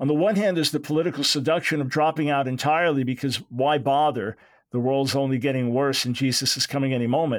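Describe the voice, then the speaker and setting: On a very clean recording with a silent background, a man with a fairly high pitch talks very fast, his intonation fairly even and his loudness very even. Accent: American. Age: 60s. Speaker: radio host and theologian. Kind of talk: interview.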